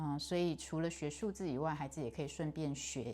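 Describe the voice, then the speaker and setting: A woman's very deep, low voice with vocal fry at a very slow pace. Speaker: English pronunciation learner. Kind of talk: casual talk to camera.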